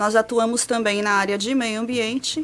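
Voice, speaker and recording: A woman with a São Paulo accent speaks at a fairly slow pace in a fairly high pitch, with noticeable background noise. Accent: São Paulo Brazilian Portuguese. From São Paulo state, Brazil. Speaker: meteorologist researcher. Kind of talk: interview explanation.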